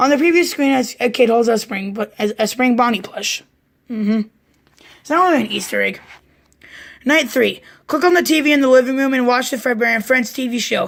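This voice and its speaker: Putting on a raspy character voice, a woman speaks fairly quickly at a high pitch with ordinary pitch variation, broken by long, frequent pauses. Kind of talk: casual read-aloud commentary. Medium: solo performance. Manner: casual, stumbling, distracted.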